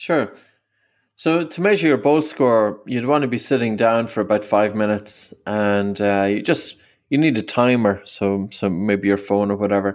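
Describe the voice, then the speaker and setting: This man has an ordinary speaking voice, a fairly low pitch and ordinary pitch variation, and he talks at a moderate pace. The recording is very clean with a silent background. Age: 40s. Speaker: breathing coach and author. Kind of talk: interview.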